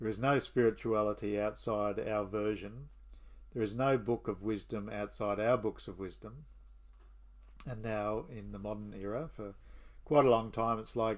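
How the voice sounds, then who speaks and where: In an Australian accent, a man talks at a moderate pace in a fairly low pitch and a relaxed tone, with fairly even intonation and big swings in loudness. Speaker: history and mythology channel host. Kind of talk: casual monologue. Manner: relaxed, with fillers.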